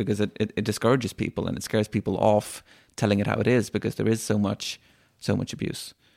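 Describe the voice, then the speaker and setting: The sound is dry and close with no echo as a man with a slight Irish accent speaks at a fairly low pitch with vocal fry. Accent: Irish-tinged. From Sweden. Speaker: climate activist. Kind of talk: interview.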